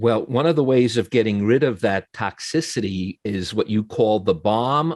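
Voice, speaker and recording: With an ordinary speaking voice in an American accent, someone talks at a fairly slow pace with ordinary pitch variation and hardly any pauses, the sound dry and close with no echo over a quiet background. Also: man. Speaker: TV interviewer. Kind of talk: interview.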